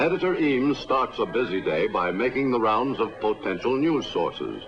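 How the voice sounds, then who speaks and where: Music can be heard behind the speaker. He is a man talking at a moderate pace. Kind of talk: newsreel narration.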